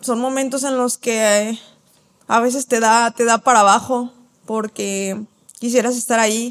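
At a fairly slow pace with long, frequent pauses, a woman speaks at a fairly high pitch in a monotone, flat intonation, the sound dry and close with no echo. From Mexico City. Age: 20s. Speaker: professional footballer. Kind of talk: interview. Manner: halting, frequent repetitions.

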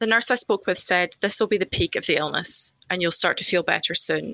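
The woman talks at a fairly quick pace, and her sound is dry and close, with no echo. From Scotland, Edinburgh. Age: 30s. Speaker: COVID patient. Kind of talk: testimony.

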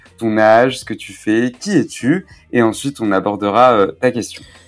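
Music plays in the background. A man with a medium-pitched voice talks at a fairly slow pace. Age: young. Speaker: podcast host. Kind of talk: interview.

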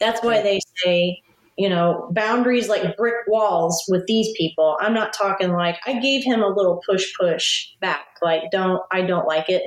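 A woman speaks at a fairly slow pace in an ordinary speaking voice with ordinary pitch variation. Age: 40s. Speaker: fitness professional sharing a dating story. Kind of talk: personal testimony in casual interview.

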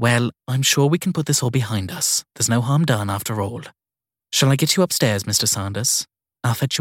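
The speaker is reading aloud in a natural voice against a quiet background.

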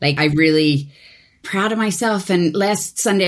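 A woman with a Philadelphia accent and lively intonation. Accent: Philadelphia American. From US, Philadelphia. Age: 40s. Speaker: activist. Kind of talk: interview.

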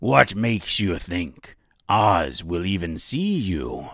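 A man puts on a character voice with a very deep, low pitch and speaks at a very slow pace. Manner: goofy, wishy-washy.

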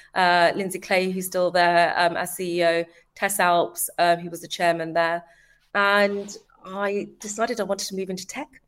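In a London accent, a woman talks at a moderate pace and a medium pitch. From East London, England. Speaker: marketing leader. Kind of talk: interview conversation. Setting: video call.

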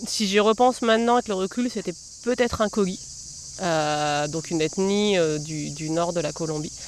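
Lively intonation and a moderate pace mark an ordinary speaking voice. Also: woman, fairly low pitch for a woman. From southern France (Massif central, Lozère). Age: 30s. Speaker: journalist and novelist. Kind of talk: casual interview. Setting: outdoors in a botanical garden.

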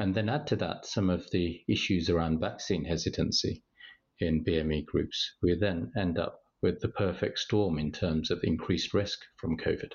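This man has a very deep, low voice that is somewhat breathy. He talks at a moderate pace with ordinary pitch variation and very even loudness. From West Midlands, England (West Bromwich, Sandwell). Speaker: cardiologist and hospital executive. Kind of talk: podcast interview.

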